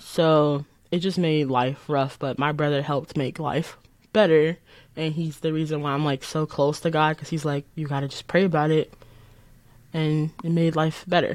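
A woman with an American accent and a very deep, low pitch speaks at a moderate pace in a monotone, flat intonation. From Chicago south suburbs, Illinois. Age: 20s. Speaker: college student. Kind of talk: testimony.

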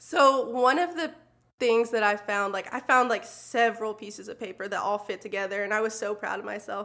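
The voice is bright and sharp, moving at a fairly quick pace with big swings in loudness and ordinary pitch variation. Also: woman, fairly high pitch for a woman. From US South, moved often. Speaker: church ministry assistant. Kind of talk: casual chat.

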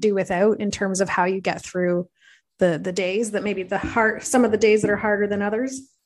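A woman speaks with an Ontario accent. Her intonation stays fairly even. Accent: Canadian (Ontario). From Belleville, Ontario, Canada. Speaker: podcast host. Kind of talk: casual interview chat.

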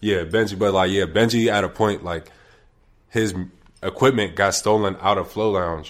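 A man with an American accent and an unremarkable speaking voice talks at a fairly low pitch and moderate pace. His intonation is fairly even, and the recording is very clean with a silent background. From Wilkinsburg, Pittsburgh area, Pennsylvania. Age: 20s. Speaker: hip-hop artist. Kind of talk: casual interview.

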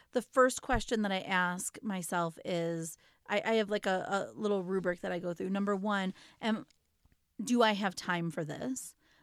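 This woman has a plain, everyday voice at medium pitch. She talks at a fairly slow pace with ordinary pitch variation. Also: very clean recording, silent background. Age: 40s. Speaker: podcast co-host and parent coach. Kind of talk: casual chat.

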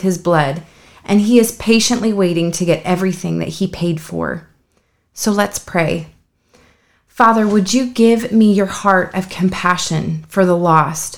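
A woman with an ordinary speaking voice talks at a fairly slow pace, with medium pitch and ordinary pitch variation. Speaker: prayer leader. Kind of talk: fervent prayer. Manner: pleading, heartfelt.

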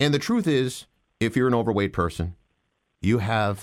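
Medium-pitched male voice with vocal fry at a moderate pace, on a very clean recording with a silent background. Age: 40s. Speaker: voiceover artist. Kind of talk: casual chat.

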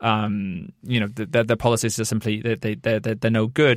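Someone with a British accent talks at a very fast pace. The recording is very clean, with a silent background. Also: man. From Britain. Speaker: podcast host and journalist. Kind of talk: interview.

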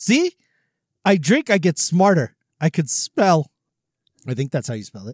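A man speaks in an animated tone at a moderate pace, his high pitch making very wide swings and his loudness swinging widely too. Long, frequent pauses break up the speech, and the sound is dry and close with no echo. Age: 40s. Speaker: podcast host. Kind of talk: casual chat.

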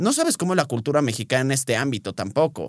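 A man speaks at a very fast pace. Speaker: nutritionist and podcast host. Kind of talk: casual chat.

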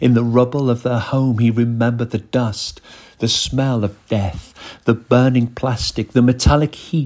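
What you hear is a voice reading naturally.

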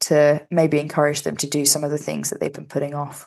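Heard over a quiet background, a woman with a London accent and a very deep, low pitch talks at a fairly quick pace. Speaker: podcast co-host. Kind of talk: casual chat.

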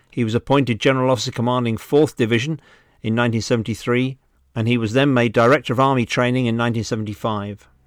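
Very fast and in a medium pitch, a man with a British accent speaks in a monotone, flat intonation on a very clean recording with a silent background. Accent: British, educated. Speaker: museum director and podcast host. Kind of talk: scripted narration and reading aloud from a book. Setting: lockdown, recorded at home. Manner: formal, dry humour.

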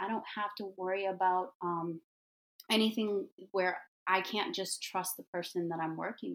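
An ordinary speaking voice from a woman with an American accent, medium in pitch, at a moderate pace. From US Midwest, Detroit. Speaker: hair and makeup artist, entrepreneur. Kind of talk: casual interview.

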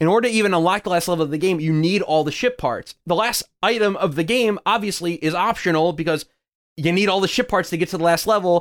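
An animated man at a very fast pace, high-pitched for a man, with ordinary pitch variation. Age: 20s. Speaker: video game podcast host. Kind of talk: casual chat.

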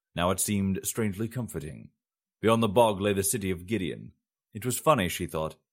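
With ordinary pitch variation, a natural voice reads aloud over a quiet background.

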